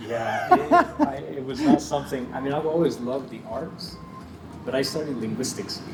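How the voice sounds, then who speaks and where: Amid noticeable background noise and audible room echo, a fairly high-pitched man speaks at a moderate pace, his loudness swinging widely and his speech broken by long, frequent pauses. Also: ordinary pitch variation. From northern Mexico, moved to US at about nine. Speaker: photographer. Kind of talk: casual interview. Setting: inside a cantina.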